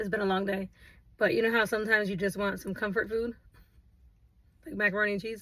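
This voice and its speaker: Putting on a raspy character voice, a woman rattles along at a very fast pace in a flat monotone at medium pitch. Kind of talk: casual, chatty. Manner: chewing, talking while eating.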